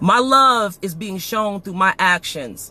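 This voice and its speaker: Loud and animated, a man delivers his words in a bright, sharp tone with a dry, close sound and no echo. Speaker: podcast host. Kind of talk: emotional monologue. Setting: live stream.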